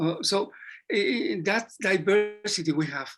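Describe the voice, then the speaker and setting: A man speaks with a Spanish accent and ordinary pitch variation. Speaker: psychology professor. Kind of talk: Q&A discussion. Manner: halting.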